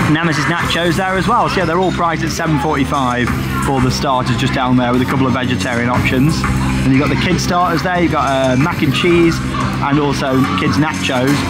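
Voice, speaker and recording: Loud music plays in the background while a man speaks at a moderate pace. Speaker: theme park vlogger. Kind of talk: casual vlog commentary. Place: cafe.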